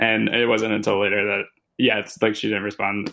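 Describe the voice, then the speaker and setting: Talking at a very fast pace, a man with a fairly low pitch uses a bright, sharp tone edged with vocal fry. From Louisville, Kentucky. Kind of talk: casual chat.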